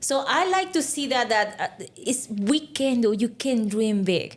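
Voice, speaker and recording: The woman's voice is high-pitched. It rises and falls very widely. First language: Spanish. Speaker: life insurance agent. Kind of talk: casual interview. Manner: animated.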